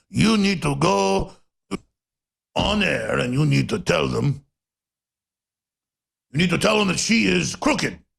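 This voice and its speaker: In a put-on character voice with a Russian accent, a man sounds raspy and fairly high-pitched, keeping a moderate pace broken by long, frequent pauses. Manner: urgent, insistent.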